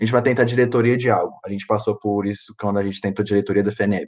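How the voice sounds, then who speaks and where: A man talks at a very fast pace with a medium pitch and monotone, flat intonation. The background is quiet. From Minas Gerais, Brazil. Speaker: podcast host. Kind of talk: casual chat.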